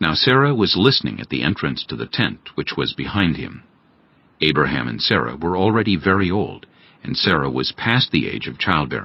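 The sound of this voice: A man speaks at a moderate pace in an extremely low pitch with big pitch swings. His voice carries vocal fry and a slightly husky edge.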